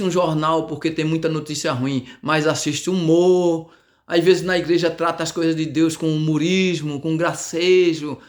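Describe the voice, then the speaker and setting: Fairly high in pitch, a man talks at a fairly slow pace. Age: 60s. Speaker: evangelical preacher and community radio host. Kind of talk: preaching monologue. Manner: hesitant, many fillers and repetitions.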